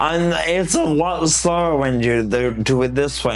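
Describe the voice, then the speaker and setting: A man talks at a fairly slow pace with a medium pitch and ordinary pitch variation. Audible room echo and noticeable background noise are present. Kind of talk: casual interview chat. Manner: animated.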